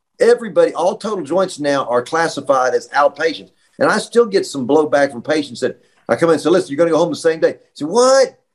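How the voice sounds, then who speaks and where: The speech moves at a fairly quick pace in an American accent, with very wide pitch swings. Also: man. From Virginia, Roanoke. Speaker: orthopedic surgeon. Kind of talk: panel discussion, medical explanation.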